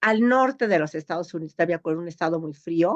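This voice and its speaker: Recorded with a dry, close sound and no echo, a woman speaks with lively intonation. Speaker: geneticist. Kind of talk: interview.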